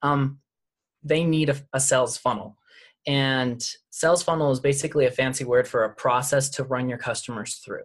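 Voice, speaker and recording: Speaking with an American accent, a man talks at a moderate pace in a somewhat breathy voice of fairly high pitch and fairly even intonation. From Utah. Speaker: sales coach. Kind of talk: casual chat.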